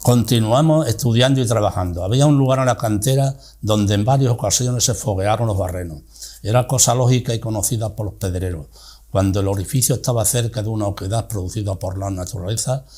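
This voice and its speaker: A man's fairly low, somewhat breathy voice with a dark, mellow tone, ordinary pitch variation and a fairly quick pace. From Spain, Cáceres (Extremadura). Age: 80s+. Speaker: retired teacher, interviewee. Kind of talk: reading aloud from own memoir.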